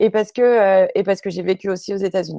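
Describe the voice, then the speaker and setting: A woman's dark, mellow tone comes through a dry, close sound with no echo on a very clean recording with a silent background. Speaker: YouTube channel creator on spirituality. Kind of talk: talk show interview. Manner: hesitant, many fillers.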